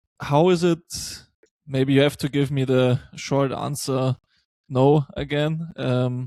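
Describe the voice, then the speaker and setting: In a German accent, a man speaks very slowly at a fairly high pitch with fairly even intonation, his sound dry and close with no echo on a very clean recording with a silent background. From Germany. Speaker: podcast host. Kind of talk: podcast interview.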